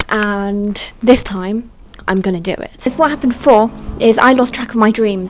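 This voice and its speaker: Over noticeable background noise, a woman speaks in an animated tone. Her pitch sits fairly high. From England. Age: 20s. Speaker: vlogger and freelance writer. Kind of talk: casual vlog talk to camera. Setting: at home in partner's flat.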